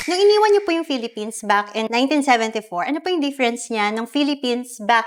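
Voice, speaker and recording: A woman with a plain, everyday voice speaks at fairly high pitch with lively intonation. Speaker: pre-loved luxury bag seller. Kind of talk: casual sales talk and interview to camera.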